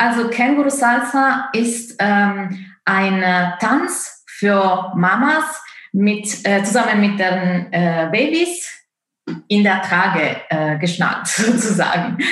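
Talking at a very slow pace in an Italian accent, a woman with a medium pitch uses lively intonation and very even loudness, with audible room echo around her. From Italy. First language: Italian (speaking German). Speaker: opera singer and dance course founder. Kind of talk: interview. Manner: halting, many fillers.

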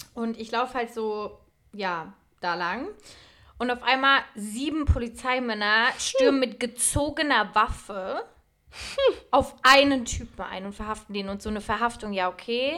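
A woman talks at a fairly high pitch and a fairly slow pace, in a bright, sharp, animated tone with ordinary pitch variation. Her loudness swings widely on a very clean recording with a silent background. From Franconia, Germany. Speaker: podcast co-host. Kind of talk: casual chat. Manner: animated, laughing.

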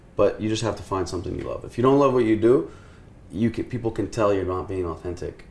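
The speaker has an unremarkable speaking voice with an American accent. Pitch moves in an ordinary way. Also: man. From US, Houston, Texas. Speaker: influencer and talent manager. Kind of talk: casual interview chat.

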